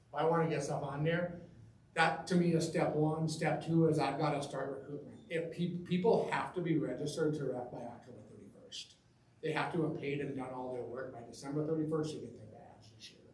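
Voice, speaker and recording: Talking at a fairly quick pace, a man uses a fairly high pitch and fairly even intonation, with big swings in loudness. The recording has audible room echo and noticeable background noise. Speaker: youth hockey referee coordinator. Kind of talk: board meeting presentation. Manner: fast.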